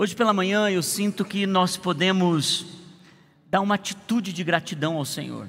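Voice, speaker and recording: A man speaks at a moderate pace in a high voice. His intonation stays fairly even. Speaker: pastor. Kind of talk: sermon. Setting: church service.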